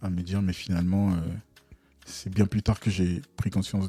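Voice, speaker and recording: A man's very deep, low voice in a monotone, flat delivery at a moderate pace over music in the background. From Togo and Ivory Coast (Lomé, Abidjan). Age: 40s. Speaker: UX/UI designer and entrepreneur, podcast co-host. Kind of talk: casual interview. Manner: hesitant, many fillers.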